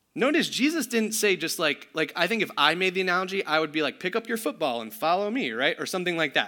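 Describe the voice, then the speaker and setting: A man's raised, projected voice, high-pitched with a bright, sharp tone, at a very fast pace. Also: very clean recording, silent background. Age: 30s. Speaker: pastor. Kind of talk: sermon. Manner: casual.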